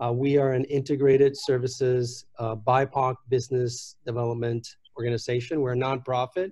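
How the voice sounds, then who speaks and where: At a moderate pace, a man speaks at medium pitch in a somewhat breathy, dark, mellow tone with fairly even intonation. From Puerto Rico. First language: Spanish. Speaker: nonprofit executive. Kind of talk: panel discussion.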